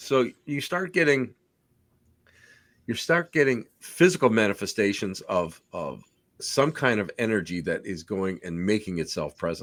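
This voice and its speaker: The pitch swings very widely at a fairly slow pace. This is a very clean recording with a silent background. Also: man. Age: 60s. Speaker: podcast host, paranormal investigator. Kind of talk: casual interview chat.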